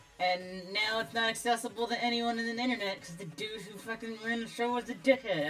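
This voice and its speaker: A woman of medium pitch, with music in the background. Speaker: streamer. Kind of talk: casual chat. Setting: live stream. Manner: casual, filler-heavy.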